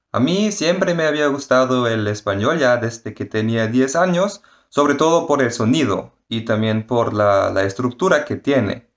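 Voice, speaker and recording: A man with a medium pitch and lively intonation talks fairly slowly with hardly any pauses against a quiet background. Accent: German. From Germany, Fürth. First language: German (speaking Spanish). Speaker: university student. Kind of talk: interview answers.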